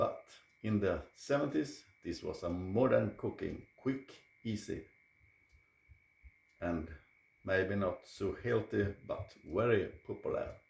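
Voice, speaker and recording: With a Swedish accent, a man speaks at a very slow pace, leaving long, frequent pauses. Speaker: cooking channel host. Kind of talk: cooking video presentation.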